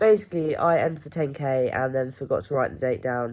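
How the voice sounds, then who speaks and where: With an English accent, a woman speaks at a fairly quick pace with a very deep, low pitch. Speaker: amateur triathlete vlogger. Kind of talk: personal video diary. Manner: casual, hesitant with many ums.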